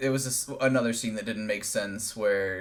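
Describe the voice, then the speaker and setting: A man speaks with audible echo from the room around him. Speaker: movie review podcaster. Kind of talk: casual chat. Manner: monotone.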